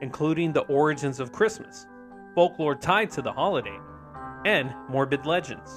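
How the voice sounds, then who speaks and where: A man speaks at a moderate pace in a fairly high voice. Music plays in the background. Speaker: podcast host. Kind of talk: folklore narration.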